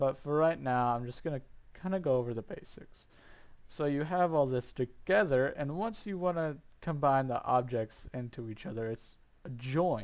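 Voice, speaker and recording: A man speaks at a moderate pace. His fairly high voice has ordinary pitch variation. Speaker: amateur 3D modeling tutorial maker. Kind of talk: screen-recorded software tutorial. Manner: casual, hesitant.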